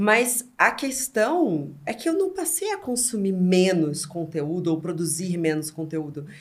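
A woman speaks in a somewhat breathy voice with very wide pitch swings. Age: 30s. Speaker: content platform founder. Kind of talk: casual chat.

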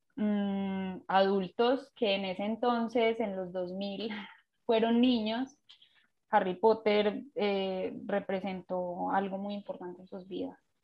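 Her pace is very slow. This woman keeps her intonation fairly even. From Colombia, Pereira. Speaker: graphic designer and illustrator. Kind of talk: interview. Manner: hesitant, many fillers.

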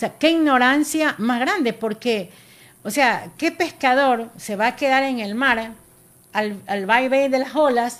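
Her pitch is high and shows ordinary variation. The woman keeps a moderate pace. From Ecuador, Guayas coast (General Villamil Playas). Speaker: artisanal fishing federation leader. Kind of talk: radio interview.

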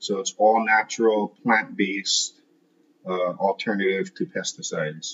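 With a Hawaiian accent, a man talks at a fairly low pitch. His pace is fairly slow and his intonation lively. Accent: Hawaiian local English. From Hawaii, Kailua on Oahu. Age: 30s. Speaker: landscaping business owner. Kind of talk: interview. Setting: at his home. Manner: casual, hesitant with fillers.

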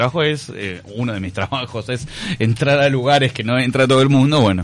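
An ordinary speaking voice moves along at a fairly quick pace. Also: man. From Uruguay. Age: 40s. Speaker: actor. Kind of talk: radio interview.

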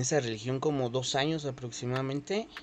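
Over noticeable background noise, a man speaks at a fairly quick pace, his medium pitch and intonation fairly even. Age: 20s. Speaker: podcast host. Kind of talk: casual chat.

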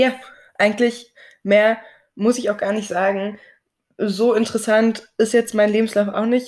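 A woman speaks with a fairly high pitch. Her delivery has long, frequent pauses. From Berlin, Germany. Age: 20s. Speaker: podcast co-host, Instagram creator. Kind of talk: casual chat.

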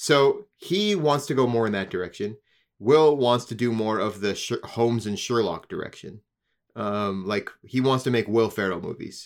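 On a very clean recording with a silent background, a man uses a normal speaking voice at medium pitch, with ordinary pitch variation and a moderate pace. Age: 30s. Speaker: guest co-host. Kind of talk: casual chat.

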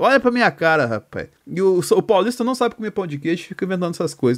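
Speaking very fast, a man uses lively intonation. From Minas Gerais, Brazil. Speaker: podcast host. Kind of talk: casual chat.

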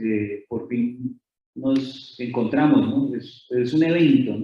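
With a Colombian accent, a man talks in a fairly even intonation. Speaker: author and lecturer. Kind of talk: lecture. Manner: halting.

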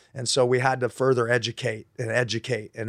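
The recording is very clean, with a silent background and a dry, close sound with no echo. A man speaks at a medium pitch. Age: 50s. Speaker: high school basketball coach. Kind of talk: casual interview.

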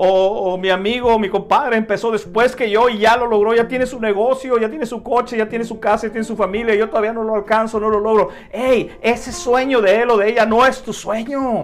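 Over noticeable background noise, a man speaks at a fairly quick pace in a high pitch with fairly even intonation. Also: hardly any pauses. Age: 50s. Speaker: motivational podcast host and author. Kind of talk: motivational monologue. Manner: halting, with fillers and repetitions.

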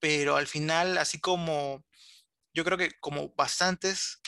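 A man speaks at a very slow pace in a fairly high pitch with a bright, sharp tone. The sound is dry and close, with no echo. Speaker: illustrator and animator. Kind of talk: interview.

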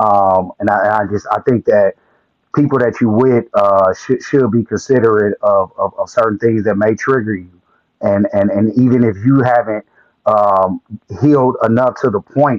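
With a normal speaking voice and a fairly low pitch, a man talks at a moderate pace in a dry, close sound with no echo. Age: 40s. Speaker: panelist. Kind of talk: casual group discussion. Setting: live online audio room.

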